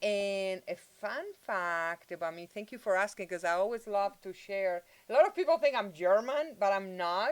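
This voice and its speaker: Speaking at a moderate pace and medium pitch, a woman with a Spanish accent uses lively intonation and big swings in loudness. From Spain, Madrid. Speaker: university multicultural affairs director. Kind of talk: bilingual interview.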